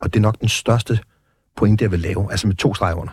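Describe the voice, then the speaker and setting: Pitched fairly low, a man's somewhat breathy voice moves with ordinary pitch variation in a dry, close sound with no echo. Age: 30s. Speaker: former biker gang leader, exit programme director. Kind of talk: interview. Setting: studio.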